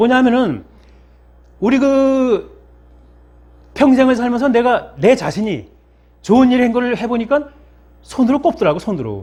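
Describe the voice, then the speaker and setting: A man is speaking. His pace is fairly slow. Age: 60s. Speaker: pastor. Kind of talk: sermon. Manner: halting.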